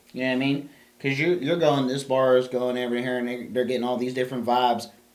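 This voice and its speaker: A man with a medium pitch talks at a very fast pace. Noticeable background noise and audible room echo surround him. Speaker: podcast co-host. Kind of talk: casual chat. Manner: loud; animated.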